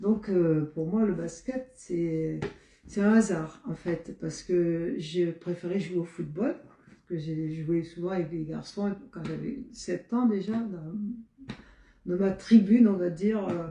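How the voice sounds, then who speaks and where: Her voice fairly low, a woman speaks very slowly with ordinary pitch variation and big swings in loudness. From Marseille, southern France. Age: 70s. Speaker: retired basketball player and PE teacher. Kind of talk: interview. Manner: halting, many hesitations.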